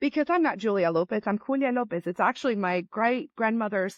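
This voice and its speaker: A woman talks in a Spanish accent. Her intonation is lively. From Latin America, moved to US as young child. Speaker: business owner. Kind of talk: interview. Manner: frequent repetitions and fillers.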